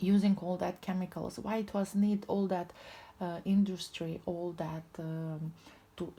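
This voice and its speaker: In a non-native accent, a woman speaks very slowly with a somewhat breathy, dark, mellow tone, a fairly low pitch and monotone, flat intonation. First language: not English. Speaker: tarot reader. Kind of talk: spiritual tarot reading. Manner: halting.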